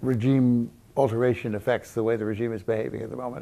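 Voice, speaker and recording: A man's very fast speech, medium in pitch and dark, mellow in tone, with fairly even intonation on a very clean recording with a silent background. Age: 80s+. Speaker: historian. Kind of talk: interview answer.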